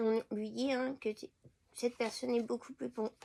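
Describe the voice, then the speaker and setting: A woman speaks fairly slowly with a fairly high, dark, mellow voice. Her intonation is fairly even, and the sound is dry and close with no echo. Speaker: tarot card reader. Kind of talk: spiritual card reading. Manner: halting with many fillers.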